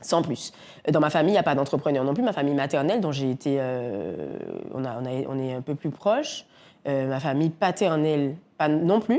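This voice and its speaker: A woman speaks at a moderate pace in a very deep, low voice with lively intonation. Her tone is dark and mellow, on a very clean recording with a silent background. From Guadeloupe. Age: 40s. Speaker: entrepreneur, café owner. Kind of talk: interview. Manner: energetic; halting, many fillers.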